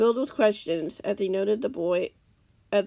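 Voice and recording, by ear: The voice is natural while reading aloud. Its pitch moves in a typical way.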